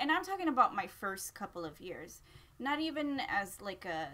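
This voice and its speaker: In a Spanish accent, a woman's bright, sharp voice moves through very wide pitch swings. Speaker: parent vlogger. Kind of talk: casual chat. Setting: live stream.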